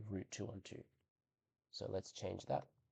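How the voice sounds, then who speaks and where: At a moderate pace, a man with a fairly low pitch speaks with vocal fry and ordinary pitch variation. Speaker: maths tutor. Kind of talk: tutorial. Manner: casual, hesitant with fillers.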